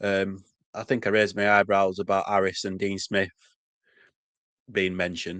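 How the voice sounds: The voice has a fairly bright tone, monotone, flat intonation and a fairly slow pace. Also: man, low pitch for a man.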